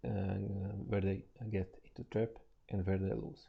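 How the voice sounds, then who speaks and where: A man's voice with a non-native accent, a fairly low pitch, a dark, mellow tone and a moderate pace. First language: not English. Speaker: trader and financial market analyst. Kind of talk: tutorial. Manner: halting, with many fillers.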